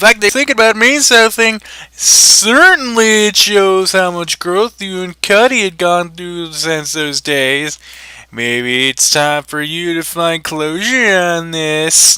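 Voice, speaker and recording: A man puts on a character voice at a high pitch and a fairly slow pace. His loudness swings widely. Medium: read story.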